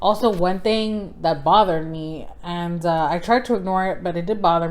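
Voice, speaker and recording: With audible room echo, a woman speaks in a fairly low pitch and fairly even intonation. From South Texas. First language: Spanish. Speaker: book vlogger. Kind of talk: casual book review vlog. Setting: indoors by the fire. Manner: casual, filler-heavy.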